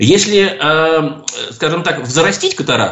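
A man with a fairly high pitch and a fairly quick pace, amid noticeable background noise. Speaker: ophthalmologist, professor. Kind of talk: radio call-in interview. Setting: radio studio.

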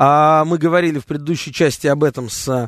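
In a plain, everyday voice, a man speaks at a moderate pace and fairly high pitch, with a dry, close sound with no echo and a quiet background. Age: 30s. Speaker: radio host. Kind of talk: talk radio.

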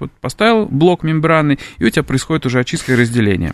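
With an ordinary speaking voice, a man talks at a fairly quick pace with lively intonation, the sound dry and close with no echo against a quiet background. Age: young. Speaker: chemistry professor. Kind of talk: radio interview. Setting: radio studio.

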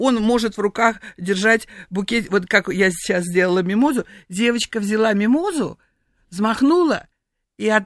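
At a fairly slow pace with long, frequent pauses, a woman with a fairly high pitch keeps very even loudness and ordinary pitch variation in a dry, close sound with no echo. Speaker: perfumer. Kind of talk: radio interview. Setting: studio. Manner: animated.

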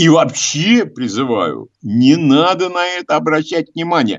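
A man speaks at a fairly high pitch. His pace is fairly slow.

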